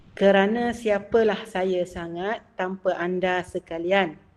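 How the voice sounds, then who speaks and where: Very slowly and at a medium pitch, a woman speaks in a Malaysian accent. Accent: Malaysian Malay. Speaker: academic book discussion speaker. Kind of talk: lecture. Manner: hesitant, many filler sounds.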